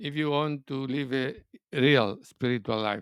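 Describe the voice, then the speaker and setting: Male voice with a non-native accent at a fairly slow pace. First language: not English. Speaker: spiritual teacher. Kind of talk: spiritual talk. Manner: halting, searching for words.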